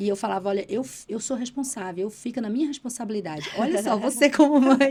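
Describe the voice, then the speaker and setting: A woman at a fairly high pitch, a very fast pace, and lively intonation over noticeable background noise. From Bahia, Brazil (Irecê). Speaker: politician and journalist. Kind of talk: casual interview.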